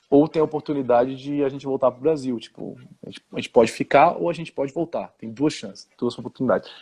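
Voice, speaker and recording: Over a quiet background, a man talks at a very fast pace in a fairly high pitch with a dark, mellow tone, ordinary pitch variation and big swings in loudness, the sound dry and close with no echo. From Brazil (born Switzerland, childhood in France until 9). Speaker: historian and music teacher. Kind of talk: interview. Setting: live stream video call. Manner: halting, many repetitions and fillers.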